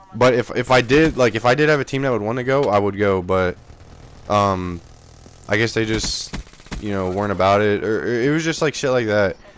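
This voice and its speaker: Noticeable background noise behind a man's fairly quick speech with ordinary pitch variation. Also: medium pitch for a man. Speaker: gaming youtuber. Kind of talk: video commentary. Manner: halting, filler-heavy; casual.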